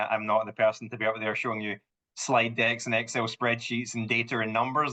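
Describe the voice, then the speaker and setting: A man's medium-pitched voice, bright and sharp, at a very fast pace over a quiet background. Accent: Scottish. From Scotland. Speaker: home sales manager. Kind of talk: podcast interview. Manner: animated storytelling.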